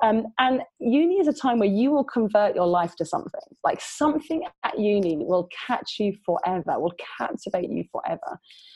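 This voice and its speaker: In a London accent, a woman with a somewhat breathy, fairly high voice speaks at a moderate pace, her pitch swinging very widely. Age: 40s. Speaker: youth worker and author. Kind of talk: interview.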